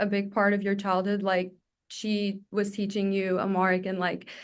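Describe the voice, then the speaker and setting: The background is quiet. A woman speaks at a medium pitch. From Egypt. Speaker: podcast host. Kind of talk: interview conversation.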